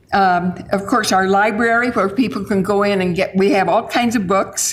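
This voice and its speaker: A woman speaks at a medium pitch and a fairly slow pace with ordinary pitch variation, and there is noticeable background noise and audible room echo. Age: 80s+. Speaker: senior center representative. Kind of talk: public comment speech. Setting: city council meeting. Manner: halting.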